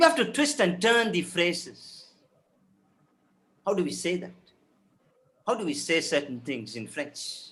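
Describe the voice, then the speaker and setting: A man's high voice with very wide pitch swings, a fairly slow pace and long, frequent pauses. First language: Tamil. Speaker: professor of French. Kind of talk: webinar panel talk. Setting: video call webinar. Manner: halting, many fillers and repetitions.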